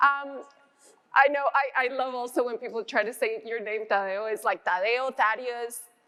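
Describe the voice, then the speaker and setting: At a moderate pace, a woman speaks with a high pitch and a bright, sharp tone. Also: fairly even intonation. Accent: Spanish. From Colombia. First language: Spanish. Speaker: business executive. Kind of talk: panel discussion.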